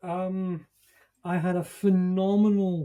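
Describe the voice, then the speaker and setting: A dark, mellow tone, somewhat breathy, comes through in a Scottish accent. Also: man. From Scotland. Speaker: leadership and management expert, author. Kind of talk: podcast interview.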